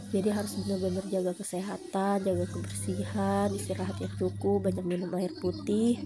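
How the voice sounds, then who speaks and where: Fairly quick speech from a woman amid noticeable background noise and audible room echo. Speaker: housewife vlogger. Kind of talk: vlog voiceover. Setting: at home. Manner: casual, with many fillers.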